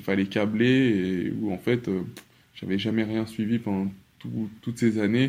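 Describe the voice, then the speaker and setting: The voice moves at a fairly slow pace in a dark, mellow tone with fairly even intonation. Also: man. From Paris, France. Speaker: dancer and activist. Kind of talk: interview conversation.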